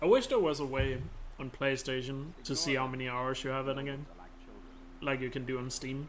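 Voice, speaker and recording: A man with a strong Danish accent talks at a fairly quick pace and medium pitch. His intonation is monotone and flat, with audible room echo. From Denmark. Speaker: video game speedrunner and streamer. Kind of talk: live-stream commentary while gaming. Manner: casual, conversational.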